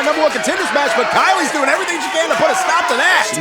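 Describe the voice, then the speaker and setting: A man speaks in a raised, projected voice with an energetic, enthusiastic tone. Noticeable background noise sits behind him. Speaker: wrestling commentator. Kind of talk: pro wrestling live commentary.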